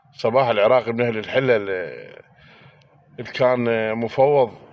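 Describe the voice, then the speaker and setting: A man speaks at a moderate pace. He has an Iraqi accent. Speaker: political commentator. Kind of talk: angry monologue. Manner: animated.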